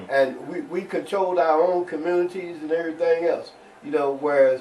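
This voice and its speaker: A man with an American accent talks at a fairly quick pace in a high pitch with ordinary pitch variation. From Cairo, Illinois (southern Illinois). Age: 70s. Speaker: civil rights activist. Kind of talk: interview testimony. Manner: halting, many repetitions.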